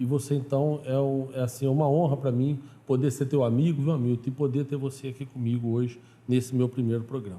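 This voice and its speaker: A man with a Minas Gerais accent talks at a fairly quick pace. His fairly high voice is somewhat breathy with a dark, mellow tone. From southern Minas Gerais, Brazil. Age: 40s. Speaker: pastor and TV show host. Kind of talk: TV program interview and introduction.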